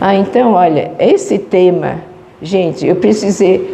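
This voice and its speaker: A woman of medium pitch, with audible room echo and noticeable background noise. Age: 70s. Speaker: spiritist lecturer. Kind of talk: lecture. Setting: spiritist center with audience.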